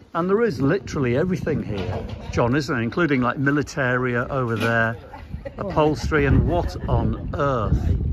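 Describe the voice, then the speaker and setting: Noticeable background noise beneath a man's dry, echo-free voice. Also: moderate pace. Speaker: antiques vlog host. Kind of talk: casual vlog chat. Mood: enthusiastic, amused. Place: market. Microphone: phone near.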